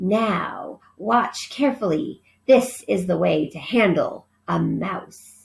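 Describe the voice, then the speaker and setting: Growling in a put-on character voice, a woman speaks at a very slow pace with a medium pitch. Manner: cold-hearted, menacing.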